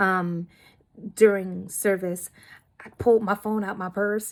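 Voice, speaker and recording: In a very clean recording with a silent background, a woman with an American accent talks at a medium pitch. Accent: Bronx Nuyorican, comes out sometimes. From New York, the Bronx. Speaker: student. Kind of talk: recorded discussion board response. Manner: casual, conversational with many fillers.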